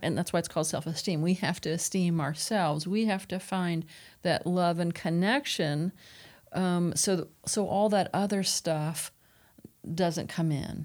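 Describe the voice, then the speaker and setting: This is a very clean recording with a silent background, featuring a woman with a normal speaking voice. Her pitch is fairly low and her intonation fairly even. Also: moderate pace. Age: 50s. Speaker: clinical director, family recovery. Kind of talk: panel discussion.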